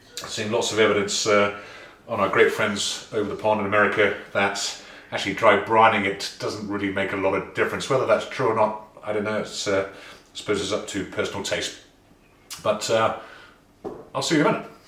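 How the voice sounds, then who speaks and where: A man's fairly low-pitched voice at a fairly quick pace, monotone and flat in intonation, with audible room echo and noticeable background noise. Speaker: barbecue youtuber. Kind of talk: cooking tutorial.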